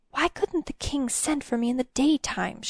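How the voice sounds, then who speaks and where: Using a put-on character voice, a woman speaks at a moderate pace and high pitch with a hissing sound. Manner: hissed, reproachful.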